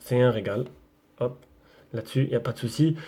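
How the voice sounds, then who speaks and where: Dark and mellow in tone, a man's voice comes through somewhat breathy. He talks at a fairly quick pace. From southern France, Marseille area. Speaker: tech YouTuber. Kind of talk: casual vlog. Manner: casual, hesitant with many fillers.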